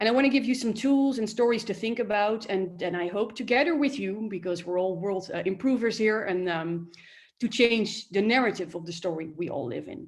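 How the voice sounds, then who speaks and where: Talking fairly quickly, a woman speaks in a Dutch accent. Her fairly high voice has lively intonation. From Netherlands. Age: 30s. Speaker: coach and lecturer. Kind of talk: workshop talk. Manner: hesitant, many fillers.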